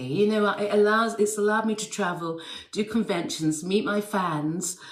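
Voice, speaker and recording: The speaker talks at a very slow pace with an English accent. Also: woman. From England. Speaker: actress and dancer. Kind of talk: interview anecdote. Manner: hesitant, many fillers and repeats.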